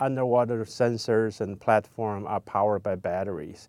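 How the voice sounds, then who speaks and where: A man with a Chinese accent and a medium-pitched voice speaks at a moderate pace with ordinary pitch variation. The sound is dry and close with no echo, and the background is quiet. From China. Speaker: ocean scientist and company founder. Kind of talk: personal profile interview.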